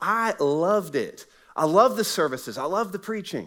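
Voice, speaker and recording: Lively in intonation and animated in tone, the speaker talks with an American accent. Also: man. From US South, Southwest Florida. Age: 40s. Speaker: pastor. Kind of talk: sermon. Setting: church.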